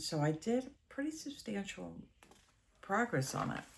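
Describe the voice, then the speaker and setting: A woman speaks at a fairly slow pace, sounding somewhat breathy. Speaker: cross-stitch vlogger. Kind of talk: casual chat.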